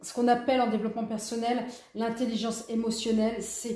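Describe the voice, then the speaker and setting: A woman speaks in a fairly high pitch with audible room echo. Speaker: tarot reader. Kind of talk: tarot reading guidance.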